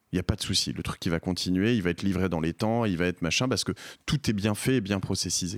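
Very deep and low, a man's voice moves at a very fast pace with ordinary pitch variation. The recording is very clean, with a silent background. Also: dry, close sound with no echo. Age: 40s. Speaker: entrepreneur and podcaster. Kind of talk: interview. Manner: halting, frequent repetitions and fillers.

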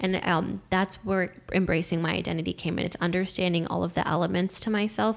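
Here a woman speaks fairly quickly at a fairly low pitch with vocal fry. Her intonation stays fairly even. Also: very even loudness. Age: 20s. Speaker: young elected official and student. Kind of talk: casual chat.

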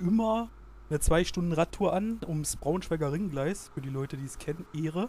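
A man with a normal speaking voice, fairly high in pitch, at a fairly quick pace. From Germany, Saxony-Anhalt (Halberstadt). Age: 20s. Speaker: student teacher, weight-loss guest. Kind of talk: casual interview.

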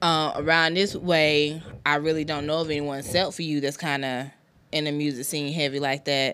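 A woman's very deep, low voice with a bright, sharp tone and an American accent, monotone and flat, at a moderate pace, on a very clean recording with a silent background. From South Carolina, Anderson. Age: 30s. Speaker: podcast host. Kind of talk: casual chat. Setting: studio.

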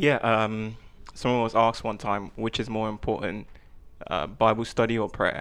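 Against a quiet background, a man talks at a moderate pace and medium pitch in a normal speaking voice. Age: 20s. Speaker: tech worker. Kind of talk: casual chat.

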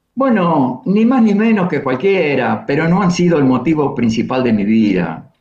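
There is audible room echo as a man speaks with very wide pitch swings. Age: 70s. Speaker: poet and singer-songwriter. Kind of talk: interview.

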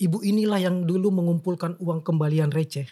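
This man's voice sits high in pitch, with a dark, mellow tone. He talks at a fairly quick pace, with fairly even intonation. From Makassar, South Sulawesi, Indonesia. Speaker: writer and literacy activist. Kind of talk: casual interview.

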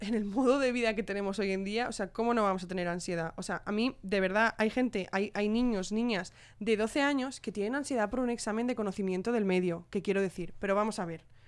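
In a very clean recording with a silent background, a woman uses an ordinary speaking voice with ordinary pitch variation. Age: 20s. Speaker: youth council president, co-host. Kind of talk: casual chat.

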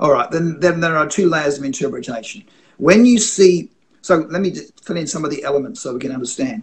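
Speaking fairly quickly, a man with a fairly high pitch uses lively intonation and big swings in loudness. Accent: Australian. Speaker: itinerant prophetic minister and author. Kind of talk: interview about faith and dream interpretation. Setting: video call from home, construction noise outside.

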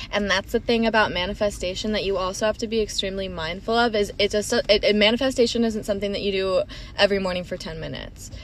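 Monotone, flat intonation at a very fast pace with hardly any pauses, over noticeable background noise. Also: woman, medium pitch for a woman. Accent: American. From Florida and Minnesota. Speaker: podcast co-host. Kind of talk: casual chat.

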